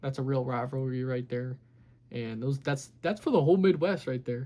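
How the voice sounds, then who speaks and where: Talking at a very fast pace, a man speaks in a dark, mellow tone. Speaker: sports YouTuber. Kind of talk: casual sports recap monologue.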